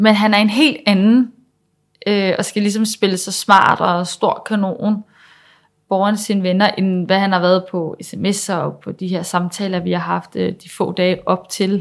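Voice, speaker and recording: Over a silent background in a very clean recording, the voice moves at a very slow pace with fairly even intonation. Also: woman, medium pitch for a woman. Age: 20s. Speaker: pedagogue sharing personal story. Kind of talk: personal testimony. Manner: halting.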